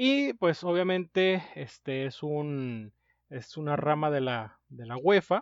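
A man with a Mexican accent and a fairly high pitch speaks at a very slow pace with lively intonation and big swings in loudness, in a dry, close sound with no echo and a quiet background. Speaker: podcast co-host. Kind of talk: casual chat.

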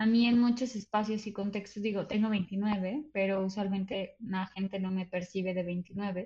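The woman's voice is somewhat breathy, at a medium pitch. Her intonation stays fairly even. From Mexico City. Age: 20s. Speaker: theatre director and cultural manager. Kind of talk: casual chat.

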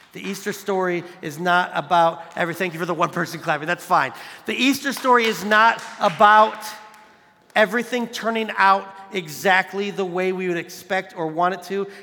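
A man's raised, projected voice, high in pitch and animated in tone, at a moderate pace with ordinary pitch variation, over noticeable background noise. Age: 40s. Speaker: youth pastor. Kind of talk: sermon.

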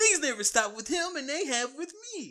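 Someone puts on a whiny, high-pitched character voice and talks at a fairly quick pace.

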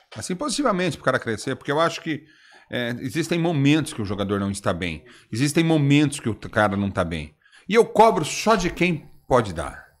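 A man with a fairly high pitch and vocal fry talks at a fairly quick pace, his pitch swinging very widely. The recording is very clean, with a silent background. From Brazil, interior São Paulo (Osvaldo Cruz). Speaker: podcast host. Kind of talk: casual chat.

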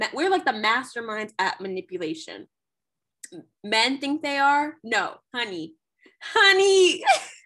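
A woman raises and projects her high, bright, sharp voice, her pitch swinging very widely. She leaves long, frequent pauses. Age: 20s. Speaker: podcast co-host. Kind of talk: casual chat. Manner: animated.

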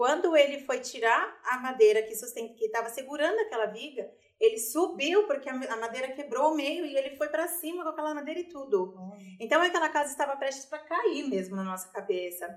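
A woman's high-pitched voice with very wide pitch swings, big swings in loudness, and a fairly quick pace. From Brazil, grew up in a favela. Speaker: cosmetics company director. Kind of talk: testimony.

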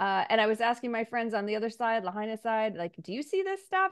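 A woman with a fairly high pitch, a plain, everyday voice, and an American accent, against a quiet background. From Missouri, US Midwest. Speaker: state senate candidate. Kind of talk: interview.

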